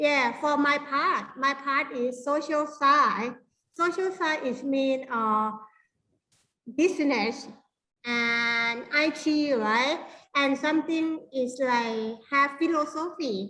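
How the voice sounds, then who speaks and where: Amid audible room echo, a woman projects her high, bright and sharp voice at a very slow pace, her loudness very even. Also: ordinary pitch variation. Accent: strong Thai. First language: Thai. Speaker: university lecturer. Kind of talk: workshop lecture. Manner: halting.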